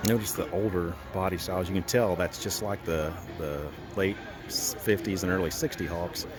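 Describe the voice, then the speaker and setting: Music plays in the background as a man speaks at a moderate pace with a very deep, low pitch. His intonation is fairly even, and room echo is audible. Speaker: car show video host. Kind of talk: casual walkaround commentary. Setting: outdoors at a car show. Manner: casual, halting with repetitions.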